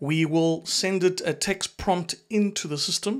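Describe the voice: Speaking at a fairly slow pace, a man with a high pitch and ordinary pitch variation is heard in a very clean recording with a silent background.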